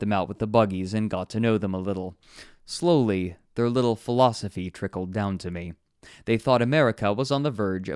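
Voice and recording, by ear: The voice reads aloud naturally, its pitch varying in an ordinary way.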